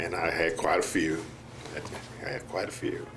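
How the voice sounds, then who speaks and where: Audible room echo surrounds this recording. A man with an American accent speaks at a moderate pace. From US South, Mississippi. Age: 70s. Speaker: patient. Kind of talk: testimony. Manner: halting, with many fillers.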